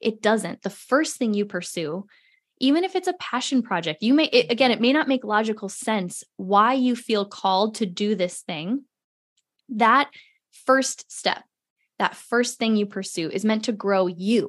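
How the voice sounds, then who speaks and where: In a normal speaking voice, a woman speaks at a fairly slow pace with a fairly high pitch. Her intonation is lively, and the background is quiet. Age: under 55. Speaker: entrepreneur and podcast host. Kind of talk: casual interview.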